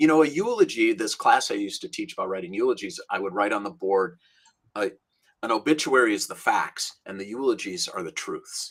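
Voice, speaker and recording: Speaking at a fairly quick pace with an American accent, a man shows big swings in loudness. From Minnesota, US Midwest. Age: 60s. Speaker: rabbi and author. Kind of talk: interview conversation.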